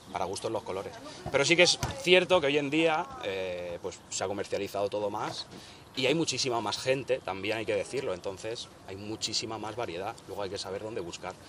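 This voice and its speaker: Noticeable background noise sits behind this voice. A man speaks at a fairly quick pace. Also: medium pitch for a man, lively intonation. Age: 30s. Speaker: rapper. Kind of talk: interview.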